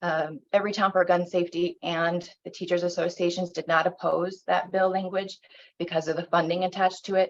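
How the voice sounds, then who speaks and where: A woman with an American accent talks at a fairly quick pace in a fairly low pitch, her intonation monotone and flat. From South Bend, Indiana, US. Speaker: state legislator. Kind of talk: public talk on legislation.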